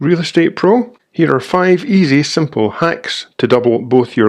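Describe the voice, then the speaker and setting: A man speaks in a Scottish accent. He goes at a fairly slow pace with lively intonation. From Scotland. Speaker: real estate trainer. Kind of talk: reading aloud.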